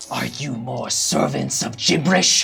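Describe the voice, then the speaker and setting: A put-on character voice growls and hisses over clear background noise. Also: moderate pace. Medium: actual play. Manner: menacing.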